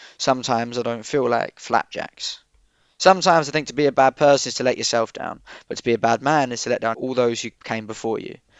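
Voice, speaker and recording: Medium in pitch, this man's voice shows ordinary pitch variation. He talks at a very fast pace. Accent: Essex. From Southend, Essex, UK. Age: 20s. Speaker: spoken word poet. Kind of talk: poetry reading.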